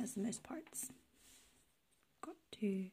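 The voice is soft-spoken with a gentle tone. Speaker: toy unboxing vlogger. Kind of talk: casual toy review chat. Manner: soft-spoken, gentle quiet ASMR voice. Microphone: phone near.

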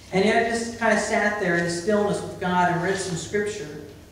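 Strong room echo, light background noise, and ordinary pitch variation. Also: man. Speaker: preacher. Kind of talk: sermon. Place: church. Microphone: camera far.

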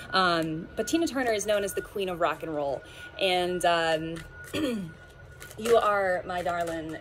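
A woman at a fairly slow pace with ordinary pitch variation, amid noticeable background noise. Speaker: card reader. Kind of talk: casual tarot reading chat. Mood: warm, smiling, playful. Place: garden.

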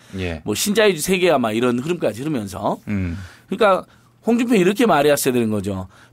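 Vocal fry runs through a man's fairly high-pitched voice as he talks at a very fast pace with very wide pitch swings. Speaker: civic activist, head of a citizens' group. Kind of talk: casual studio interview. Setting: studio. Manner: laughs easily, self-deprecating.

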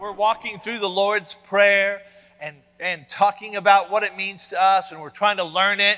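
A man speaks in a raised, projected voice. The background is quiet. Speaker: preacher. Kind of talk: sermon. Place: church.

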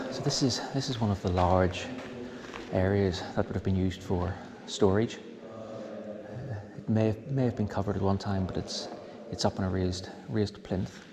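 Against noticeable background noise, a man speaks at a moderate pace in a fairly low pitch with ordinary pitch variation. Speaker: tunnel explorer guide. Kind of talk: walking tour commentary. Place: tunnel cave. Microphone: phone near.

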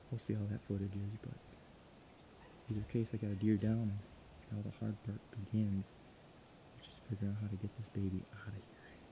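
Over noticeable background noise, a man speaks at a fairly quick pace. His intonation is monotone and flat. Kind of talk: casual vlog chat. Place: forest. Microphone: phone near.

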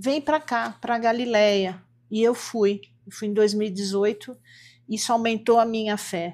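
Delivered in an unremarkable speaking voice at a fairly slow pace, the speech has fairly even intonation and big swings in loudness. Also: woman, fairly high pitch for a woman. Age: 60s. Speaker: homeopathic doctor; interview guest. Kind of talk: interview. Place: studio.

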